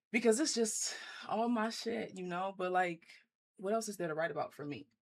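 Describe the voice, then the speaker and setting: With a New Orleans accent, a woman talks at a moderate pace and medium pitch, her intonation lively. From US South, New Orleans. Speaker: poet. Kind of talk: casual interview.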